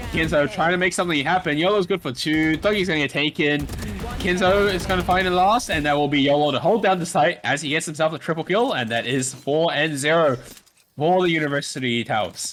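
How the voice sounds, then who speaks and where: Noticeable background noise accompanies a man talking at a fairly quick pace in a fairly high voice with ordinary pitch variation. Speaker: esports caster. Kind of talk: live commentary. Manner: fast; animated.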